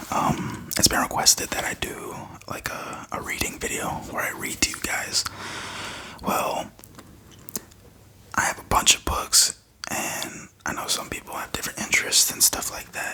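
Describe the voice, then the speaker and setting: Whispering at a moderate pace, a man leaves long, frequent pauses, his loudness swinging widely over noticeable background noise. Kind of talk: reading a textbook passage aloud. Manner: whispered, soft-spoken.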